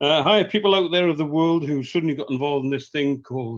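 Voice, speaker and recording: With a strong northern English accent, a man speaks at a fairly quick pace in a fairly high pitch and with ordinary pitch variation. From northern England. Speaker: professional trainer. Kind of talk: webinar testimony. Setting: video call. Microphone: bad internet connection.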